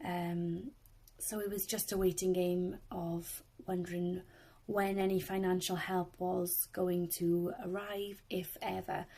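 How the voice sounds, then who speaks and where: A woman with a Welsh accent speaks at a very slow pace in a dark, mellow tone, her intonation monotone and flat. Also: medium pitch for a woman. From South Wales. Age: 20s. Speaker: swimming instructor. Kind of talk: personal testimony.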